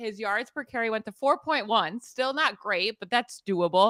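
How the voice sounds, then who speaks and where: A woman's fairly high, bright, sharp voice with lively intonation at a moderate pace, dry and close with no echo, on a very clean recording with a silent background. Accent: American. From Pittsburgh, US. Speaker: fantasy football analyst. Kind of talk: podcast sports analysis. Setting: live stream.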